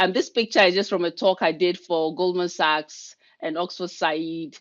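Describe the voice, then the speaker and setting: A woman talks at a moderate pace. Her pitch is fairly low, and the background is quiet. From Ghana. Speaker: leadership coach and keynote speaker. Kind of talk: webinar presentation. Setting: video call.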